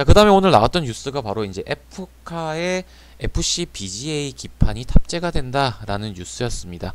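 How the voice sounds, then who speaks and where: At a fairly quick pace, a man speaks with big swings in loudness and very wide pitch swings. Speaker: stock market commentator. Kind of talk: market recap commentary. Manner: occasional slurred pronunciation; casual with filler sounds.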